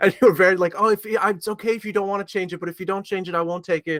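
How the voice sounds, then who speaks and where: A man with a North American accent talks at a very fast pace and a high pitch with fairly even intonation, in a dry, close sound with no echo. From Montreal, Canada. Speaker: horror author. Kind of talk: interview.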